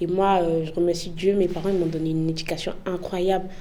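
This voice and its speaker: A woman speaks with a fairly low pitch in an Ivorian accent. Noticeable background noise and audible room echo surround her voice. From Côte d'Ivoire. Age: young. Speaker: immigrant interviewee. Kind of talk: interview. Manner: casual, hesitant with many fillers.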